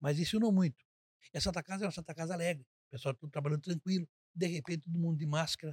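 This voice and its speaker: Speaking at a very fast pace, a man with a fairly high pitch is heard in a dry, close recording with no echo. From Brazil, Avaré (São Paulo state interior). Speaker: hospital administrator, retired banker. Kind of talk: interview.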